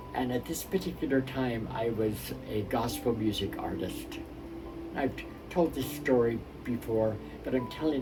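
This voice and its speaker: Music plays in the background, and the room echo is audible. A man talks at a moderate pace. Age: 70s. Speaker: minister. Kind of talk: spiritual talk with personal story.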